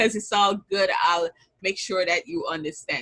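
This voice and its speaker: A woman speaks with a Jamaican accent. Her tone is bright and sharp, her intonation lively. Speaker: business strategist and bookkeeper. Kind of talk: online summit talk.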